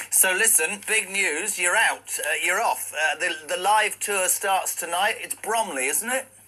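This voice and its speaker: A man's raised, projected voice, high-pitched with ordinary pitch variation, at a fairly slow pace with hardly any pauses, music in the background. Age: 60s. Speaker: radio host. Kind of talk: radio interview.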